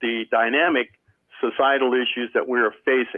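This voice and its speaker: This man has a plain, everyday voice with an American accent. His pitch is medium and his pace moderate. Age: 60s. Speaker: service club member. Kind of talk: panel discussion.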